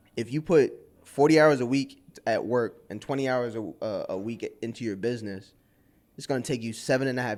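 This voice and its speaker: Heard in a very clean recording with a silent background, a man with an American accent has an unremarkable speaking voice at a medium pitch. He moves at a fairly quick pace with ordinary pitch variation. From Brooklyn, New York. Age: 30s. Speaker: creative freelancer. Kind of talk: interview.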